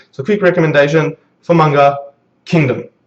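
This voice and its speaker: His words come out very fast. The man's voice has a somewhat breathy quality. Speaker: anime and manga reviewer. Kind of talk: video review monologue. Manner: halting, many fillers.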